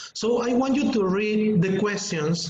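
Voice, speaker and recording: A very slow pace in a Spanish accent. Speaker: English teacher trainer. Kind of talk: webinar lecture.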